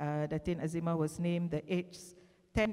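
A woman's fairly low, dark and mellow voice with fairly even intonation over a quiet background. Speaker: panel moderator. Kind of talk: formal introduction of panelists. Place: stage. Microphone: handheld.

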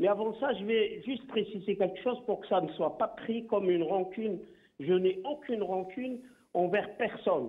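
A man at a high pitch, with ordinary pitch variation and a moderate pace. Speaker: human rights lawyer. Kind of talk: political talk show debate. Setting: phone call.

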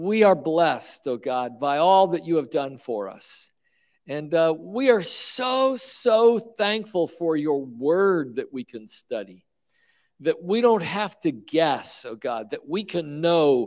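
Speaking at a very slow pace, a man lets his pitch swing very widely. His loudness also rises and falls in big swings. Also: quiet background. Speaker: bible study teacher. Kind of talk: prayer then bible teaching. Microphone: handheld.

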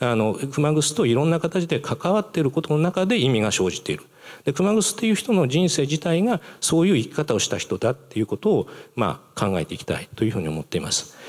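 With vocal fry and a fairly high pitch, a man talks at a fairly quick pace with very wide pitch swings over a quiet background. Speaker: museum director and professor; professor. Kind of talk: public lecture. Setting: stage with audience. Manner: halting; formal. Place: hall. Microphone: podium.

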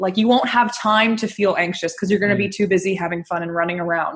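A woman's medium pitch, somewhat breathy, with an American accent and ordinary pitch variation. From Northern California, Bay Area. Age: 20s. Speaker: anxiety coach and speaker. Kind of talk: interview.

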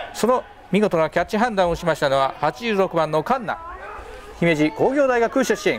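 A man's high-pitched voice with lively intonation, over noticeable background noise. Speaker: play-by-play commentator. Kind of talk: live commentary. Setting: outdoors. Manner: fast talker; formal.

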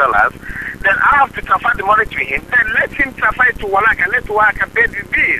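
A man talks at a moderate pace with a West African accent. Light background noise sits under his voice. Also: dry sound with no echo. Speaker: caller posing as a private lender. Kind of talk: phone conversation. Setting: phone.

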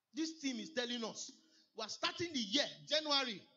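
A man talks at a moderate pace. Behind him, the background stays quiet. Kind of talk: sermon. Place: church.

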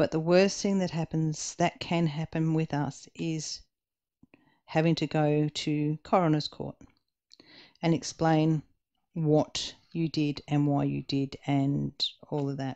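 A woman speaks in a very deep, low voice with an Australian accent, her tone dark and mellow and her intonation flat and monotone. She talks at a very slow pace with long, frequent pauses against a quiet background. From Western Australia. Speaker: diamond painting YouTuber. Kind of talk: casual chat while crafting. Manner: casual, chatty, with hesitations.

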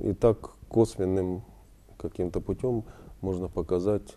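A man with a very deep, low pitch talks at a fairly slow pace. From Ukraine, Dnipro. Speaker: war veteran and photographer. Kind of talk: interview. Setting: studio. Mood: calm, reflective. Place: studio.

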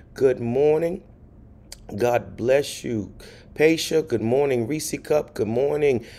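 Very slow male speech with ordinary pitch variation. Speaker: pastor. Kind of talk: livestream greetings to viewers. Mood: warm, cheerful. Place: home room. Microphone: phone near.

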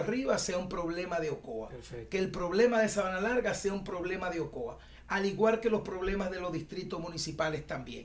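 At a fairly quick pace, a man talks in a high voice with ordinary pitch variation over light background noise. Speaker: interview guest. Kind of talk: interview answer. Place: studio.

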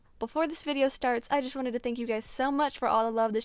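A woman speaks at a very fast pace in a high voice. The sound is dry with no echo, over a quiet background. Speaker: dancer vlogger. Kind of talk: casual vlog chat.

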